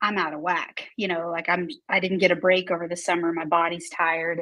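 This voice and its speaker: At a moderate pace, a woman with a medium pitch talks in an ordinary speaking voice. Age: 30s. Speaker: assistant principal and cancer patient. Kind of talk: casual interview chat.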